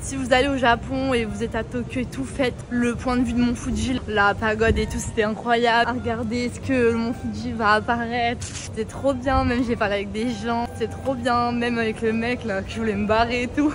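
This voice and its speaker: A woman's speech comes with clear background noise and an audible echo off the room. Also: moderate pace, hardly any pauses. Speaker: travel vlogger. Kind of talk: casual vlog monologue. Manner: loud; animated.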